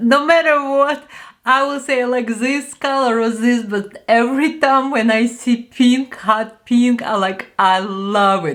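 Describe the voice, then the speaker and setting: A woman's high-pitched voice moves at a very slow pace, with ordinary pitch variation. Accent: Ukrainian. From Ukraine. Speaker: beauty vlogger. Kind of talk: product review. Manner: animated.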